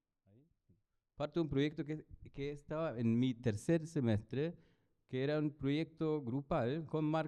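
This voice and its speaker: With a German accent, a man speaks in a dark, mellow tone at a fairly high pitch, moving at a fairly slow pace with long, frequent pauses. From Germany. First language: German (speaking Spanish). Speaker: architect and professor. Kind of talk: lecture presentation. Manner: halting, many fillers.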